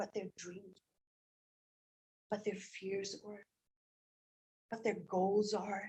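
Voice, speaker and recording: Very slowly and with long, frequent pauses, a woman speaks at a medium pitch in a dark, mellow, somewhat breathy tone, her intonation monotone and flat, her loudness swinging widely, the sound dry and close with no echo. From Scotland. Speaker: English teacher. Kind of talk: public comment at board meeting. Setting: school board meeting. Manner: emotional, earnest.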